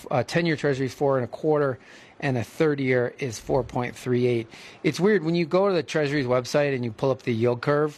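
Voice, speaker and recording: A man talks fairly quickly, his pitch fairly high. His pitch varies in an ordinary way, and he has an ordinary speaking voice. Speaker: radio host and financial advisor. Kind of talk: radio talk show, financial commentary. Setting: studio.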